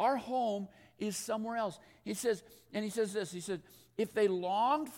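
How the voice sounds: The speaker uses a natural reading voice, with ordinary pitch variation.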